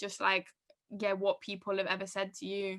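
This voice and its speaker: Speaking with a northern English accent, a woman has a bright, sharp tone. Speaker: podcast host. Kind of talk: live podcast panel chat. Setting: live podcast event with audience.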